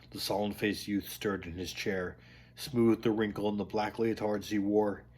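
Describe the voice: What you hear is plain reading aloud.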